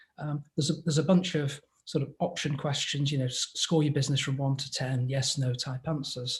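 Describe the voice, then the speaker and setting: A man speaks in a fairly high, somewhat breathy voice with monotone, flat intonation, moving at a fairly quick pace with hardly any pauses. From England. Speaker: business advisor. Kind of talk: interview.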